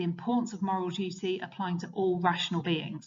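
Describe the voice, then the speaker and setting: A woman's somewhat breathy voice at a medium pitch. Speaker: teacher. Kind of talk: revision lecture. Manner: fast.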